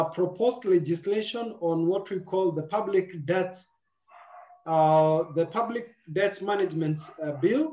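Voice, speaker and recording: A high-pitched male voice with a dark, mellow tone and ordinary pitch variation, at a fairly slow pace with audible room echo. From Kenya. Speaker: moderator. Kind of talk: moderated webinar. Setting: video call. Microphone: video call.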